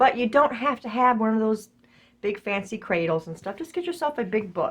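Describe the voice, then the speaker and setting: With lively intonation, a woman talks at a moderate pace. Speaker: craft YouTuber. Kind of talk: crafting tutorial. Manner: casual, conversational; louder than usual, close to mic.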